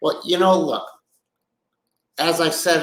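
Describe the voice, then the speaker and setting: Audible room echo surrounds the voice. A man delivers it at a fairly slow pace. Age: 60s. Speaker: business executive and podcast host. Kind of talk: casual monologue podcast. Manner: conversational with frequent fillers.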